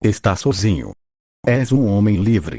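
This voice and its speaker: Growling, a man puts on a character voice at a fairly low pitch and a moderate pace. The recording is very clean and dry, with a close sound, no echo and a silent background. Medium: read story. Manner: friendly, coaxing.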